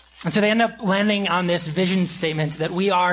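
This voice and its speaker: A man talks while clearly audible noise sounds in the background. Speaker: pastor. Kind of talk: sermon. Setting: church. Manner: halting.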